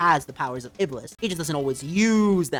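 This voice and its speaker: A woman speaks with a very deep, low pitch. Music plays in the background. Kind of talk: casual gaming commentary. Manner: quiet.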